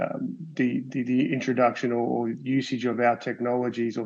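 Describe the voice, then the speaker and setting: Flat and monotone, a man's medium-pitched voice moves at a moderate pace. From Australia (Sydney). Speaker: medical device company executive. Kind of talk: panel discussion. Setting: webinar. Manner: halting, many fillers and repeats.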